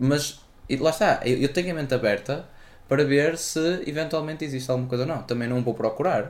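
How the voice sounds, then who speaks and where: With a European Portuguese accent, a man talks at a fairly high pitch and ordinary pitch variation. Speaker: podcast co-host. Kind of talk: casual chat. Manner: quiet.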